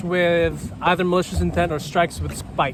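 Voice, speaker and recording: A man keeps his intonation fairly even while noticeable noise sits behind him. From Philippines. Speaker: HEMA fencer. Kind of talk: casual chat. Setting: outdoors on a pedal boat. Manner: slight stutter; hesitant, many fillers.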